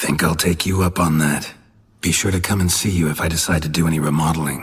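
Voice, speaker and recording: Putting on a character voice, a man speaks very fast in a raspy, very deep, low pitch. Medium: video game. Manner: terse, dry, clipped.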